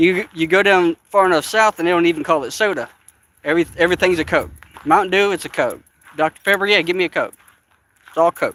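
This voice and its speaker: A man speaks very fast in an Appalachian accent, with a high pitch and fairly even intonation. The sound is dry and close with no echo, broken by long, frequent pauses. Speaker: vlogger. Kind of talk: live stream walking vlog. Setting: outdoors in a park. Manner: casual, chatty.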